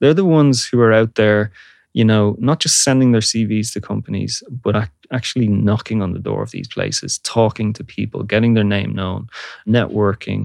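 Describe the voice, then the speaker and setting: A man with a Dublin accent, fairly low pitch, fairly even intonation and moderate pace, in a dry, close sound with no echo on a very clean recording with a silent background. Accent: Irish (Dublin). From Ireland, Dublin. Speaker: university lecturer and audio researcher. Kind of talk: interview. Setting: studio.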